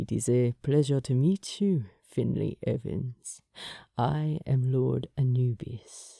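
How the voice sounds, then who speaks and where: A rumbling, put-on character voice at a low-to-middle pitch and fairly slow pace, in a very clean recording with a silent background. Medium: read story. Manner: suave, amused, courteous.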